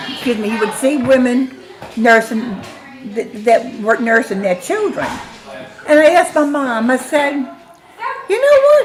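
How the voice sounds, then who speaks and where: A woman with a high pitch talks at a fairly slow pace, her pitch swinging very widely. Noticeable background noise and audible room echo fill the recording. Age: 70s. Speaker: grandmother being interviewed. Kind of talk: family interview.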